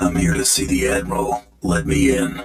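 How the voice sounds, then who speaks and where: A man speaks at a moderate pace in a put-on character voice. His tone is raspy. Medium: video game. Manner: terse, dry, sardonic.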